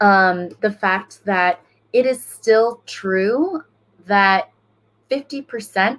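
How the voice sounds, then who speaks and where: The woman's pitch moves up and down in an ordinary way as she talks. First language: Spanish. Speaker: school board member, former teacher. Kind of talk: panel discussion. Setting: online livestream panel.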